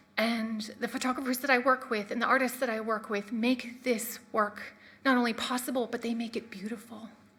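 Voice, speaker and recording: A woman talks at a fairly quick pace. Her voice sounds shaky. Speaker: marine scientist. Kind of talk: lecture. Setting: stage with audience. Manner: shaky, emotional.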